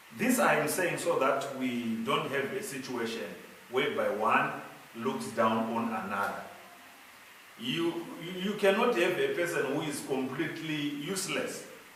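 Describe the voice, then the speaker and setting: A man's fairly high voice at a fairly slow pace, very wide pitch swings, audible room echo and noticeable background noise. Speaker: pastor. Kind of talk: sermon-style talk on marriage. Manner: loud.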